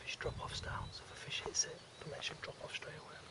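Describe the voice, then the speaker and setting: A man's whispering at a fairly quick pace, with audible room echo and noticeable background noise. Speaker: carp angler. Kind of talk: fishing vlog commentary. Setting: outdoors at a fishing lake.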